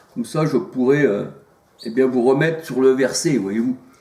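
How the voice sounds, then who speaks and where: Through audible room echo, a man with a fairly high pitch talks at a moderate pace with ordinary pitch variation. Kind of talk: informal sermon to camera. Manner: hesitant, many fillers.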